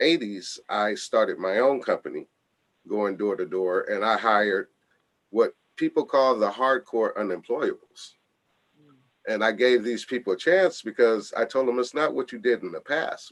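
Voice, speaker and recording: Recorded dry and close with no echo, a man with an American accent speaks at a moderate pace. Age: 60s. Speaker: foundation founder, radio show guest. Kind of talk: radio interview.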